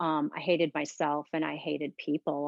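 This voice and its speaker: Her very deep, low voice stays monotone and flat as the woman speaks at a moderate pace. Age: 60s. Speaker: restoration coach. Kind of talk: interview testimony.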